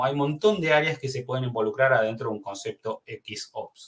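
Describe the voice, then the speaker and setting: A man at a fairly quick pace with a medium pitch. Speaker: webinar presenter. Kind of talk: webinar presentation. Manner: fast.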